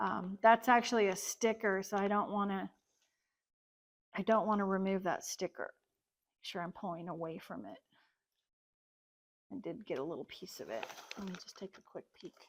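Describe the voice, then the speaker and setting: A woman speaks at a moderate pace with vocal fry and a medium pitch, her loudness swinging widely and her pitch varying in an ordinary way, with long, frequent pauses in a dry, close recording with no echo. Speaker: online reseller and channel host. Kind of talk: casual unboxing vlog.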